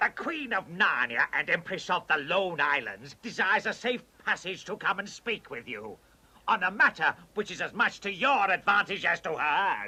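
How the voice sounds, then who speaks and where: A man's cartoonish character voice, high-pitched, at a moderate pace. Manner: servile.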